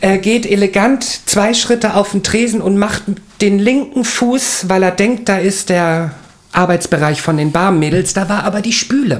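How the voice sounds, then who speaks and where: Noticeable background noise under a fairly slow pace of speech. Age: 40s. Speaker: podcast co-host and bar worker. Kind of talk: casual chat.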